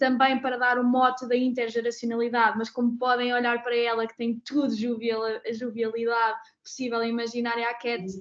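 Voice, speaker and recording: Her voice sits high in pitch. The woman speaks at a moderate pace in a flat monotone. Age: 20s. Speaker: pharmaceutical policy specialist, moderator. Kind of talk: webinar panel moderation.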